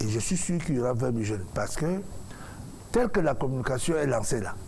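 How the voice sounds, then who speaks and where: In a room with audible echo, a man at a medium pitch talks very fast with lively intonation. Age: 50s. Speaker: musician and presidential candidate. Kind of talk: talk show interview.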